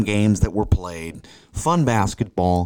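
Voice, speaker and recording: A man with an American accent talks in an ordinary speaking voice at a fairly low pitch. His pace is fairly slow. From St. Louis, Missouri. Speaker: sports reporter and podcast co-host. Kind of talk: casual sports chat.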